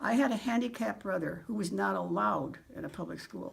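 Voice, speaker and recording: The woman's medium-pitched voice carries vocal fry. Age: 80s+. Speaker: retired teacher. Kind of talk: prepared personal statement. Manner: formal.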